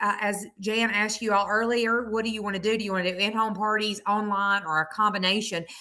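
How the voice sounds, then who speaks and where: A woman with a Southern US accent talks very fast at a medium pitch in a bright, sharp tone, monotone and flat, with hardly any pauses. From US South, Mississippi. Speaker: direct sales consultant. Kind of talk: sales pitch testimony.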